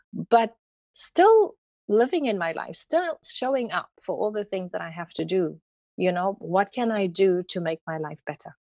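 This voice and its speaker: A woman with a South African accent, on a very clean recording with a silent background, dry and close with no echo. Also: moderate pace. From South Africa, Cape Town. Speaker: holistic healing practitioner and yoga instructor. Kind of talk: interview conversation. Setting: podcast.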